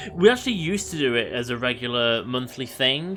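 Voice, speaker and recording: A man with an English accent speaks at a fairly slow pace. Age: 30s. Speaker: video game streamer. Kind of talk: casual live-stream chat. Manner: halting, many fillers.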